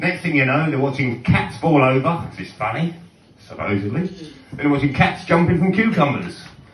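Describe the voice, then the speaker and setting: A man's fairly high pitch, ordinary pitch variation and moderate pace, with noticeable background noise. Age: 40s. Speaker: stand-up comedian. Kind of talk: live stand-up comedy set. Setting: live bar venue.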